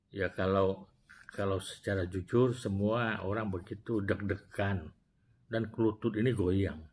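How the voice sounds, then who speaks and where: This man's voice is somewhat breathy and fairly low in pitch, with fairly even intonation. He goes at a fairly slow pace over light background noise. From Indonesia. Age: 60s. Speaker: retired prosecutor and former regional legislator telling life story. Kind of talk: personal storytelling vlog. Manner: halting with self-corrections. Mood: warm, reflective. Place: office. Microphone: lapel.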